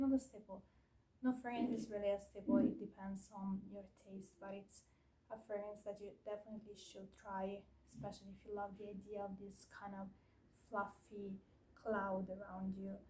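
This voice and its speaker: Medium-pitched woman's voice, somewhat breathy, with a dark, mellow tone and a moderate pace. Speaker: perfume reviewer. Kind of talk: product review. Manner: hesitant, many fillers.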